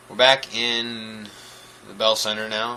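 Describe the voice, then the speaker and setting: Noticeable background noise accompanies a man speaking at a medium pitch. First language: French. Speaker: gaming commentator. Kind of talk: gameplay commentary. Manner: nonchalant.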